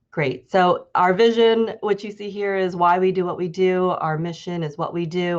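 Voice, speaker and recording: A woman's fairly low voice with fairly even intonation, against a quiet background. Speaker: policy advocate. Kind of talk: presentation with slides. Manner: fast.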